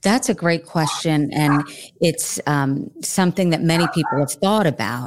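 A woman speaking at a fairly slow pace, on a very clean recording with a silent background. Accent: American. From New Jersey. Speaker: journalist, podcast guest.

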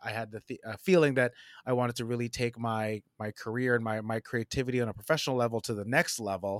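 In an unremarkable speaking voice, a man with an American accent talks at a fairly quick pace, his pitch medium and his intonation fairly even. The recording is very clean and dry, close with no echo, over a silent background. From New Jersey. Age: 40s. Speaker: creative executive and designer. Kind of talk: casual interview chat.

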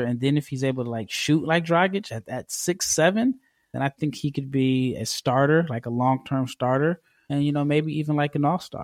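In an American accent, an ordinary speaking voice moves at a moderate pace with ordinary pitch variation, the sound dry and close with no echo on a very clean recording with a silent background. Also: man. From United States. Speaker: basketball draft scout. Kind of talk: interview.

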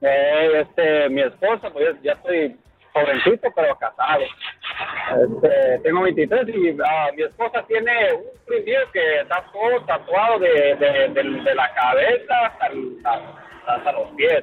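Noticeable noise in the background behind fairly slow talking. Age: 20s. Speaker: truck driver. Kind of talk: casual chat. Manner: halting.

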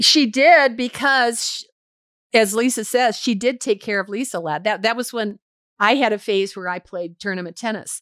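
A woman with an unremarkable speaking voice and an American accent, fairly high in pitch, at a moderate pace, on a very clean recording with a silent background. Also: ordinary pitch variation. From US Midwest (Michigan). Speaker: podcast host's mother. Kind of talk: interview, life story.

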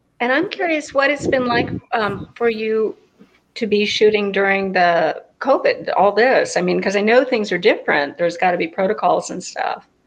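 In an American accent, a woman with an ordinary speaking voice talks at a moderate pace, her fairly high pitch carried by lively intonation. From California. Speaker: soap opera actress. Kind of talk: virtual panel interview.

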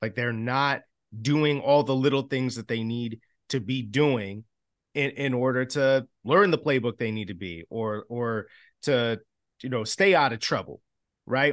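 A plain, everyday voice: a man with an American accent, medium pitch, fairly slow pace and ordinary pitch variation, in a dry, close sound with no echo. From Chicago. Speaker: sports podcast host, former team reporter. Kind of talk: casual sports chat.

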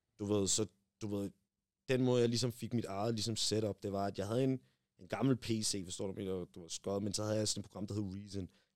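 A man with a fairly low voice speaks at a fairly quick pace with fairly even intonation, in a dry, close sound with no echo on a very clean recording with a silent background. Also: long, frequent pauses, big swings in loudness. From Denmark. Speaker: rapper. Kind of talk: casual chat.

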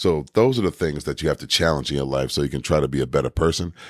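A man with a very deep, low pitch and vocal fry sounds animated, with lively intonation. The sound is dry and close, with no echo. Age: 40s. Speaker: fitness podcaster. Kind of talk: motivational monologue.

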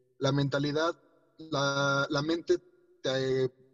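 A man talks in a normal speaking voice at a fairly high pitch. His intonation stays fairly even. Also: dry, close sound with no echo. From Mexico. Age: 30s. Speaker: racing driver. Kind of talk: interview.

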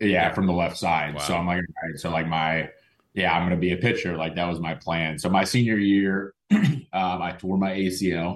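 This man, with an American accent, has a very deep, low pitch and fairly even intonation. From Oklahoma. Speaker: former minor league baseball player, nonprofit co-founder. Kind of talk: interview.

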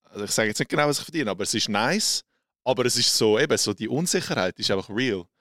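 Very clean, with a silent background and a dry, close sound with no echo, the recording has a man with a Swiss accent talking at a very fast pace. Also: medium pitch for a man, lively intonation. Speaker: social media creator. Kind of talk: casual interview.

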